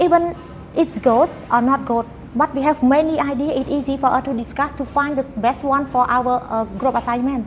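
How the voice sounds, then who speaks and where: With music in the background, a woman speaks at a high pitch and moderate pace with fairly even intonation. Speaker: university student and company employee. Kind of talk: interview conversation. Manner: halting, with frequent fillers.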